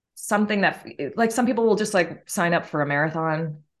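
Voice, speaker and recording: Against a quiet background, a woman with an unremarkable speaking voice talks at medium pitch with lively intonation. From Massachusetts, Martha's Vineyard. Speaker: fitness instructor and author. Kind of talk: casual interview chat.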